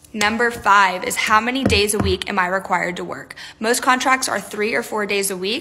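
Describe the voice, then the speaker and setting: With music in the background, a woman with an American accent speaks in an upbeat tone with ordinary pitch variation. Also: moderate pace. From Texas. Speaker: travel nurse. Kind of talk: tips video. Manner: upbeat, chatty. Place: home room. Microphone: phone near.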